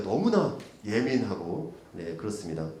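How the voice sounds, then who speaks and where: Pitch swings very widely as a man talks through audible room echo and noticeable background noise. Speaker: policy researcher and session moderator. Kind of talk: conference presentation. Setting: conference room. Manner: fast; hesitant, many fillers.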